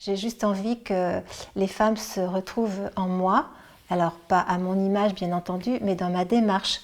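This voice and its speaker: A woman's medium-pitched voice moves at a fairly slow pace. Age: 60s. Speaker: senior model, retired bank employee. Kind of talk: interview. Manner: hesitant, many filler sounds.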